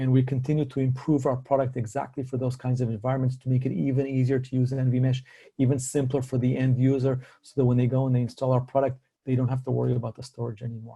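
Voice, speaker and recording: A man talks at a very fast pace in a dark, mellow, somewhat breathy voice. His medium pitch stays monotone and flat. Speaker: tech company executive presenting. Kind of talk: webinar presentation.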